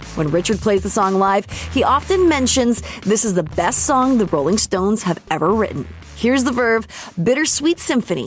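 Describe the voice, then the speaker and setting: Music plays in the background as a woman speaks at a moderate pace and medium pitch. Her pitch swings very widely while her loudness stays very even. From Canada. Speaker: radio host and voice-over artist. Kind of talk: commercial reads and radio links.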